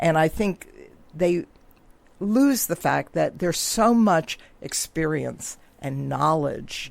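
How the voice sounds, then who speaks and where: Speaking at a fairly slow pace, a woman shows vocal fry and ordinary pitch variation. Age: 80s+. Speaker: senior nonprofit founder. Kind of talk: radio interview. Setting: radio studio.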